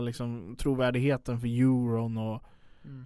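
Recorded very cleanly with a silent background, a man talks at a very slow pace. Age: 20s. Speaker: podcast co-host. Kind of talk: casual political discussion. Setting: studio.

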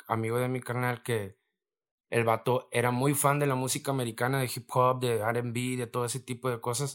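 The recording is very clean, with a silent background. A man speaks at medium pitch and moderate pace in a monotone, flat intonation. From Mexico, Reynosa, Tamaulipas. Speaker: rapper. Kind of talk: casual chat.

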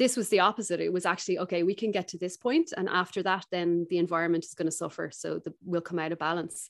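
A Dublin accent at a very fast pace, hardly any pauses and fairly even intonation. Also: woman, fairly low pitch for a woman. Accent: Dublin Irish. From Ireland, Dublin. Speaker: skincare company founder. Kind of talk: interview conversation.

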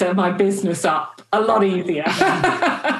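In an ordinary speaking voice, a woman holds a medium pitch that varies in an ordinary way. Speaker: podcast host and chief executive. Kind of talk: interview, polished intro.

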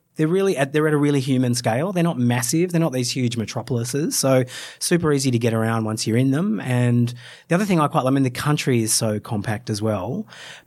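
Over a silent background in a very clean recording, a man talks at a very fast pace with lively intonation and a medium pitch. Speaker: travel blogger co-host. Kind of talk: casual interview chat.

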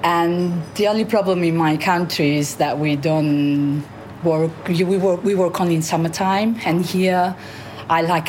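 A woman with an Italian accent speaks in a very deep, low pitch and fairly even intonation. There is noticeable background noise. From Sorrento, southern Italy. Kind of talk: interview.

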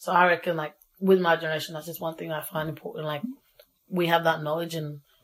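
A woman speaks at a very fast pace in a fairly low, monotone voice with flat intonation and big swings in loudness. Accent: Australian. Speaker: young South Sudanese Australian. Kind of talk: casual interview. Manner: casual, relaxed.

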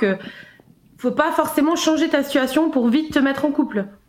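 The speaker is a woman. Her intonation rises and falls typically. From Switzerland. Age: 20s. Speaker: caller sharing personal experience. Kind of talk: testimony.

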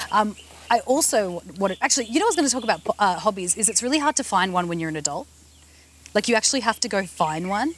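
The speech runs at a very fast pace with very wide pitch swings. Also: woman, fairly high pitch for a woman. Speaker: podcast host. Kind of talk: casual chat. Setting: outdoors. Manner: playful, giggly.

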